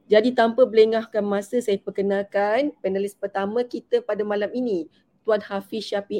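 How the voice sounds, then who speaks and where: A woman speaks at a moderate pace and a medium pitch, with ordinary pitch variation. Her tone is dark and mellow, and the sound is dry and close with no echo. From Malaysia, Selangor. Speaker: webinar moderator, gold dealer. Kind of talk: online panel moderation.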